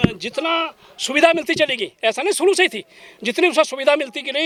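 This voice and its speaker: Over noticeable background noise, a man raises and projects his voice at an extremely high pitch. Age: 70s. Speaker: elderly Buddhist convert telling about his family. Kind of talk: street interview. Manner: halting; emotional.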